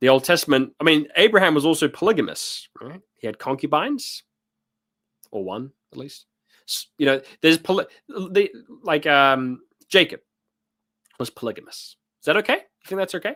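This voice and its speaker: On a very clean recording with a silent background, a man speaks at a moderate pace and fairly high pitch, his tone animated, bright and sharp, his intonation lively, his loudness swinging widely and his speech broken by long, frequent pauses. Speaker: live stream host discussing theology. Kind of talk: live stream commentary reading chat. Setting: live stream. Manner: animated, sounds like telling people off.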